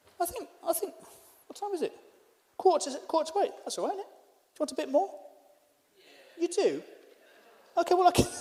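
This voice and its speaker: Talking at a fairly quick pace yet with long, frequent pauses, a man uses a dark, mellow tone at an extremely high pitch for a man, with ordinary pitch variation and big swings in loudness. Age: 40s. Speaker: stand-up comedian. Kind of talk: stand-up. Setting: stage with live audience, also streamed online.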